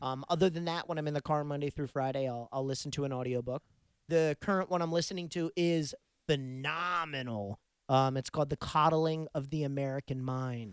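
A plain, everyday voice from a man, fairly high in pitch with ordinary pitch variation, at a fairly quick pace, in dry, close sound with no echo and a very clean recording with a silent background.

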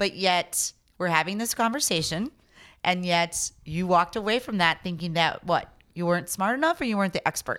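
A woman with an American accent and a plain, everyday voice, medium in pitch, at a fairly quick pace, on a very clean recording with a silent background. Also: ordinary pitch variation. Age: 40s. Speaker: cider maker and brewery owner. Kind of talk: casual chat. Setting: on location recording.

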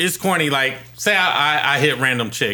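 A man is speaking with noticeable background noise. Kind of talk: hyped mock radio DJ intro in casual banter. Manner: hyped, playful, sing-song like a radio jock.

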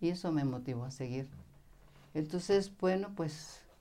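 A woman's very deep, low voice has a dark, mellow tone. She talks at a fairly slow pace with lively intonation. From Mexico, Jalisco countryside. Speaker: spiritual teacher. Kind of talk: interview. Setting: studio.

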